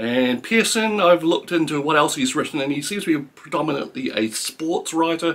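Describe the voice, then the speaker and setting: A man with a New Zealand accent talks at a fairly quick pace with hardly any pauses. His fairly high voice carries lively intonation. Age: 50s. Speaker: book reviewer. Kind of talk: book review monologue. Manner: halting, many fillers. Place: home room.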